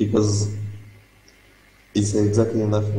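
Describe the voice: Strong room echo surrounds a man's voice. His tone is dark and mellow, and his pitch is fairly low.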